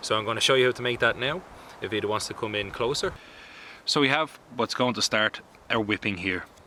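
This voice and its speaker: A man speaks with an Irish accent. There is noticeable background noise behind him. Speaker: bushcraft instructor. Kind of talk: tutorial.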